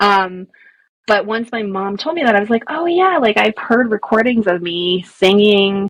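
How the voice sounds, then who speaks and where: Her intonation lively, a woman at medium pitch talks at a moderate pace. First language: Spanish. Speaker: storyteller and author. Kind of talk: podcast interview.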